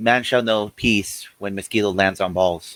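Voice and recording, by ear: At a moderate pace, a man does a put-on character voice with a fairly low pitch.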